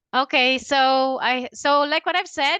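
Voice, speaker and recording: A woman speaks with a high pitch in a raised, projected voice. The sound is dry and close with no echo, over a quiet background. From Philippines. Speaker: LinkedIn consultant. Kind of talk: webinar presentation. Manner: halting, many fillers.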